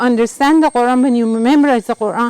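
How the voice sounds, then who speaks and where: A woman speaks with a dry, close sound that has no echo. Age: 70s. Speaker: Quran memorization teacher. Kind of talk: casual talk to camera while climbing steps. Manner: out of breath.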